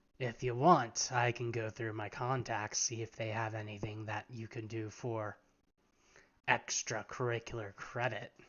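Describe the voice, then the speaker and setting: In a put-on character voice, a man sounds raspy at a medium pitch with monotone, flat intonation. He keeps a moderate pace. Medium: actual play. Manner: casual, knowing.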